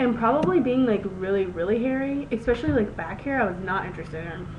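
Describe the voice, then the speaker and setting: A woman's very fast, lively-intoned speech in a room with audible echo and noticeable background noise. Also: fairly high pitch for a woman. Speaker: video blogger. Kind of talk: casual vlog monologue. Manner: halting, many fillers.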